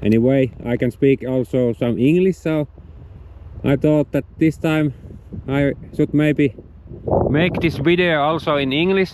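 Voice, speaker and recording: A fairly high-pitched man with a Finnish accent, long, frequent pauses and noticeable background noise. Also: ordinary pitch variation, very even loudness. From Finland. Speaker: outdoor vlogger. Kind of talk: outdoor tutorial. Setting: outdoors on a frozen lake, then indoors. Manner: halting, hesitant non-native English.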